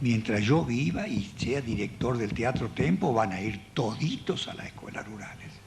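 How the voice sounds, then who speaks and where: Pitch swings very widely as this man talks. His pace is fairly slow. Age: 70s. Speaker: theatre director and puppeteer giving a talk. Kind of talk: public talk.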